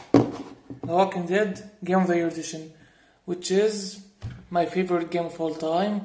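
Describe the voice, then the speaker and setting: Over noticeable background noise, a speaker with a non-native accent talks at a fairly slow pace. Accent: foreign accent, self-noted. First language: not English. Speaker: gaming YouTuber. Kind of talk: casual video review. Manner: halting, many fillers and restarts.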